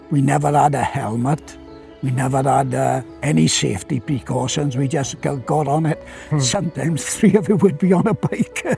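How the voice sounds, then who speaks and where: A man with a fairly high voice speaks at a moderate pace with lively intonation. Music plays in the background. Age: 80s+. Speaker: former coal miner. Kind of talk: interview answer.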